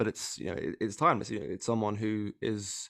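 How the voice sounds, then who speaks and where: Against a quiet background, a man talks at a fairly quick pace. His pitch is fairly low. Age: 20s. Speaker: podcast guest, digital editor. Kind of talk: casual chat. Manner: halting.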